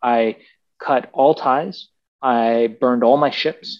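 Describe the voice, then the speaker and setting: Very slow speech against a quiet background. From Iran, raised in Los Angeles. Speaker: entrepreneur, Amazon seller expert. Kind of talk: interview.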